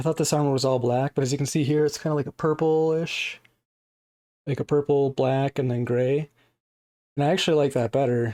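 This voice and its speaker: A man with a fairly high pitch and a dark, mellow tone talks at a fairly quick pace with fairly even intonation, very even loudness and long, frequent pauses, in a very clean recording with a silent background. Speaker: action figure reviewer. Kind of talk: casual toy review to camera. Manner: casual, hesitant.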